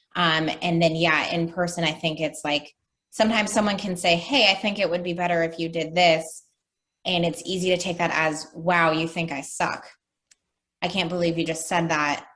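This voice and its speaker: An ordinary speaking voice from a woman, fairly low in pitch, at a moderate pace with fairly even intonation. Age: 30s. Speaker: life coach. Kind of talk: interview.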